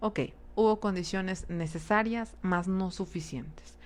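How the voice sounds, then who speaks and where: A woman at a fairly slow pace. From Mexico, Cuernavaca, Morelos. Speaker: psychologist / psychoanalytic speaker. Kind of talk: lecture. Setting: live online transmission. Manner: halting, many fillers and repetitions.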